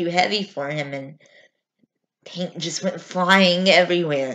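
In an angry tone, a woman talks at a fairly slow pace, her fairly low pitch held to a fairly even intonation. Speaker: amateur actor performing a monologue. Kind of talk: dramatic monologue: a raw, emotional confession of childhood fear at a father's funeral. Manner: halting, stumbling repetitions as if choked with emotion; bitter and defiant, rising to angry refusal. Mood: emotional, distressed storytelling. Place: home room. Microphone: webcam.

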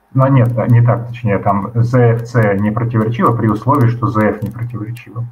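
A man talks at a moderate pace with hardly any pauses, his intonation monotone and flat. Light background noise sits behind him. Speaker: philosophy discussion group member; presenter. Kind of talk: academic discussion. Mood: calm, reflective. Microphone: video call.

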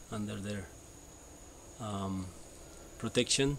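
There is light background noise as a man talks. He has a Spanish accent and a fairly low pitch. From El Salvador, Sonsonate; El Salvador. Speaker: permaculture NGO co-founder. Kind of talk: personal testimony. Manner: halting, many fillers. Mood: calm, reflective storytelling. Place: garden. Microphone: camera far.

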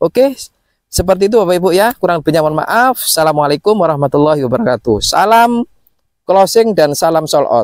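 Very fast and lively in intonation, a high-pitched man speaks against a quiet background in a dry sound with no echo. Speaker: property salesman. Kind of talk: sales pitch. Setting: outdoors at housing site. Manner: fast, upbeat, repetitive pitchman patter; animated, promotional, hammering price and installment figures. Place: open country.

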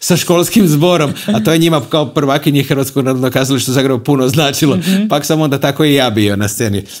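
Over a quiet background, a man talks with ordinary pitch variation. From Croatia, Rijeka; Croatia. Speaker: TV host and concert hall director; TV host. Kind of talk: casual interview. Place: studio. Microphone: lapel.

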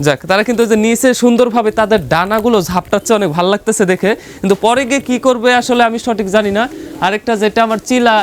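Over noticeable background noise, a man with a high voice speaks with ordinary pitch variation. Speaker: pigeon farm video presenter. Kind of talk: vlog tutorial.

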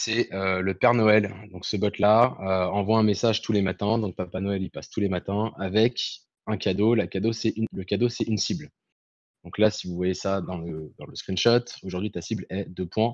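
In an ordinary speaking voice, a man with fairly low pitch talks at a moderate pace and fairly even intonation, the sound dry with no echo and the background quiet. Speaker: activist organizer. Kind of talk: explanation. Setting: video call.

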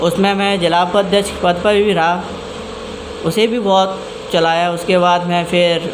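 A man's high, monotone voice with flat intonation, at a very slow pace amid noticeable background noise. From Firozabad district, Uttar Pradesh, India; Uttar Pradesh, India. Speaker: local party official. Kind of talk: interview; interview answer. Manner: halting. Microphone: handheld.

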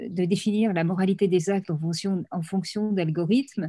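Against a quiet background, a woman speaks in a dark, mellow tone that is somewhat breathy, keeping her intonation fairly even. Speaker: panelist. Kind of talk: panel talk on ethics. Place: home room. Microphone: video call.

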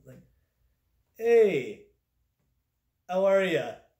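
Fairly slow speech with audible room echo and a quiet background. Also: man. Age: 30s. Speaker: comedic product reviewer. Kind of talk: comedic product review vlog. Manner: halting, filler-heavy. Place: home room.

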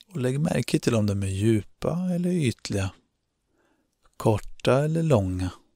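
In a very clean recording with a silent background, a man with a dark, mellow and gentle, calm tone speaks at a fairly slow pace, with very wide pitch swings and long, frequent pauses. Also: medium pitch for a man. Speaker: meditation guide. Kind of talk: guided meditation, calm instructions addressed to the listener. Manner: slow, soothing, with long pauses between instructions; gentle, calm and encouraging.

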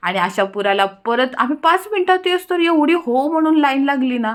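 A woman speaks with very wide pitch swings. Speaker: vlogger. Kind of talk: casual vlog narration. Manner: animated.

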